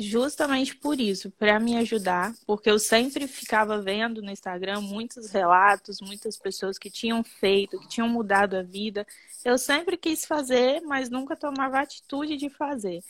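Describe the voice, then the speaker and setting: A woman with an ordinary speaking voice talks at a moderate pace and a fairly high pitch. Her intonation is lively, and her loudness swings widely. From Brazil, Espírito Santo (Muqui). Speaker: children's ballet teacher. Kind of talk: testimonial interview.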